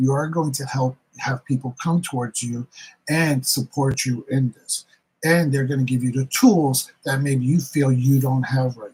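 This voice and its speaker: Big swings in loudness mark a man speaking at a fairly slow pace with a Bronx accent, the sound dry and close with no echo. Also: medium pitch for a man. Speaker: tarot reader. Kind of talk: live stream tarot reading and chat. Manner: animated.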